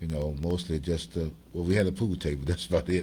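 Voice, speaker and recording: This man has a very deep, low voice with a dark, mellow tone and a somewhat breathy quality. He talks at a moderate pace. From Chicago, South and West Side. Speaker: blues guitarist. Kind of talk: interview. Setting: livestream.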